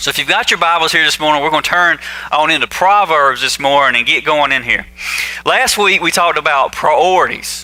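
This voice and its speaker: Over noticeable background noise, a man talks in a Southern US accent. His pitch is fairly high, with ordinary pitch variation. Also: fairly quick pace. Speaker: pastor. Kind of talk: sermon. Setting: church. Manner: casual, conversational.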